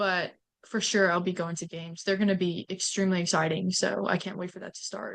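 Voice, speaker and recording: The delivery comes at a fairly quick pace, monotone and flat in intonation, with big swings in loudness. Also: woman, medium pitch for a woman. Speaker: university student. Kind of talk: casual chat.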